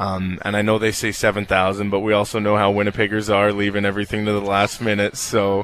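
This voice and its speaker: Amid noticeable background noise, this man rattles off words very fast in a fairly low, monotone and flat delivery. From Canada, Winnipeg. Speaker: professional basketball player. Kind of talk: interview. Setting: live event venue.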